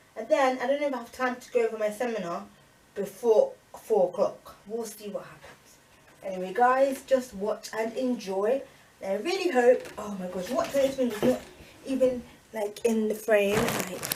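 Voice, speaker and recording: Over noticeable background noise, a woman speaks in a fairly high voice with ordinary pitch variation and big swings in loudness. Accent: British. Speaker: student vlogger. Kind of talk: casual vlog talk. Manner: fast.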